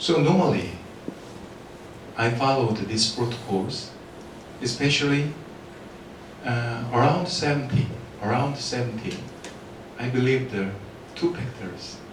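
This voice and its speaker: A man with a non-native accent at a medium pitch and fairly slow pace, ordinary pitch variation, long, frequent pauses, noticeable background noise, and audible room echo. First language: not English. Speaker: dental implant lecturer. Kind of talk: lecture. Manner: halting.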